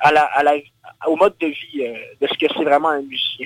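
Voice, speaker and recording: A man speaks at a fairly quick pace. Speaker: singer-songwriter. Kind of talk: interview. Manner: animated.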